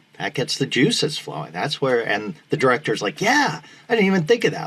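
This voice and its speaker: A man with an American accent speaks at a fairly quick pace, his pitch swinging very widely. His voice carries vocal fry. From Needham, Massachusetts. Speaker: actor and former radio DJ. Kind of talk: interview answer. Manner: enthusiastic.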